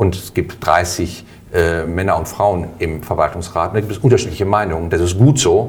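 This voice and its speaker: With audible room echo and noticeable background noise, a man speaks at a moderate pace in a very deep, low voice with ordinary pitch variation. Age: 50s. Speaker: health insurance board candidate. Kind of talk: interview.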